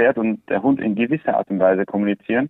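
An ordinary speaking voice with ordinary pitch variation at a fairly quick pace. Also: man. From Andalusia, Spain (Swiss family). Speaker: horse trainer. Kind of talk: interview.

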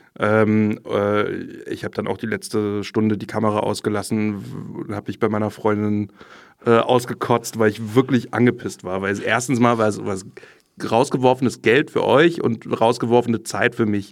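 Man with a plain, everyday voice, medium pitch, fairly even intonation and moderate pace. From Berlin. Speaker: trainee journalist. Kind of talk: casual chat.

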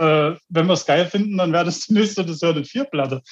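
The pitch varies in an ordinary way while the words come at a fairly quick clip. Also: man. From Germany. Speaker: death metal band member, toolmaker. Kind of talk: interview.

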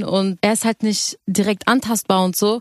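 This is a plain, everyday voice. The sound is dry and close, with no echo. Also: woman. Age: young. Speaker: singer. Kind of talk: radio interview, casual chat.

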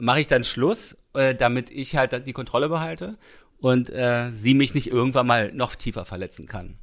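In a very clean recording with a silent background, a man talks at a moderate pace in a medium pitch, a normal speaking voice. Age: 40s. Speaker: podcast co-host. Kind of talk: casual chat.

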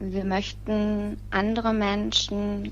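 A woman is speaking. Room echo is audible. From Lower Rhine, Germany. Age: 30s. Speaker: bereaved relative, petition starter. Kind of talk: interview.

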